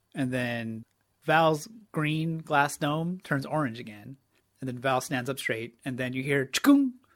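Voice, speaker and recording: At a fairly slow pace, a plain, everyday voice speaks with ordinary pitch variation. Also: man, fairly high pitch for a man. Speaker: tabletop roleplaying player. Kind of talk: tabletop roleplaying game, describing character actions.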